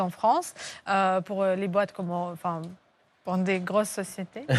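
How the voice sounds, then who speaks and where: Speaking at a moderate pace, a woman keeps a monotone, flat intonation. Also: quiet background. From Uzbekistan, Russian-speaking, Armenian family. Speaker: comedian. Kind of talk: TV talk show interview. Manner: hesitant, many fillers.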